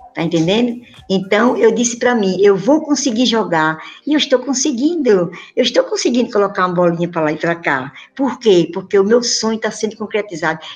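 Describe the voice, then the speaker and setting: Lively intonation at a fairly quick pace. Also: woman, fairly high pitch for a woman. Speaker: amateur tennis player. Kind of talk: interview. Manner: animated.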